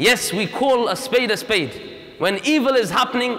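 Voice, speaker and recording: The speaker is a man. He talks at a moderate pace. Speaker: preacher. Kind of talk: sermon. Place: hall. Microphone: lapel.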